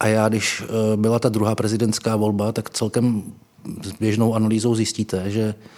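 The man's voice sits fairly low. He talks at a fairly quick pace. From small town in Moravia, Czech Republic. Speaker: political journalist and author. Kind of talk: conversational interview.

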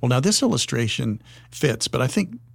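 A man with an American accent, somewhat breathy, at a fairly quick pace. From US, Wyoming. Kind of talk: podcast interview discussion.

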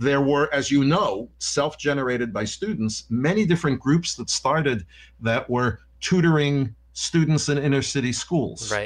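Speaking at a moderate pace, a man with a New York accent has a fairly high pitch. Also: ordinary pitch variation. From New York (Yonkers). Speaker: former university president. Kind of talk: interview.

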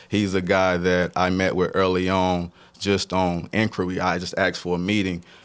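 A man speaks with a North Carolina accent. His very deep, low voice stays monotone and flat. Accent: North Carolina Southern. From Statesville, North Carolina. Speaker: arts nonprofit founder and artist. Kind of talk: casual interview.

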